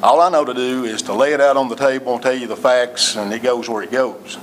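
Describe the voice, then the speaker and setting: Through audible room echo and noticeable background noise, a man with an East Tennessee accent speaks at a medium pitch. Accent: East Tennessee Southern. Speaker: city administrator. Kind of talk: council meeting address. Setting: city hall council meeting. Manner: loud.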